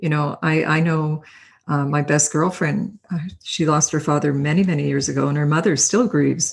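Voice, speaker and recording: Somewhat breathy and very deep for a woman, her voice moves at a moderate pace over a quiet background. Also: very even loudness. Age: 60s. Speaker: podcast host and life coach. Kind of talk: interview. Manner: enthusiastic.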